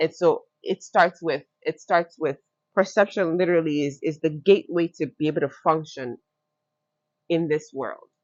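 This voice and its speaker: This woman has a Nigerian accent and a fairly low pitch. She talks at a moderate pace in an animated tone. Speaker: fashion entrepreneur. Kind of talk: podcast interview. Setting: recorded with plants behind them.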